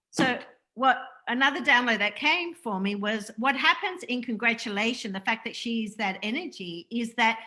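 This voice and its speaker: An animated woman's voice, fairly high in pitch, with lively intonation, a moderate pace and an Australian accent. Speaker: spiritual interview host. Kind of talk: casual spiritual interview chat on livestream. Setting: Facebook live video call.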